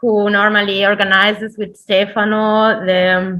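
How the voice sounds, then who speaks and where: A woman's bright, sharp, fairly high voice with a non-native accent at a fairly slow pace. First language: not English. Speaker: cultural institute representative. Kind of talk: formal welcome speech. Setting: online event. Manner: halting.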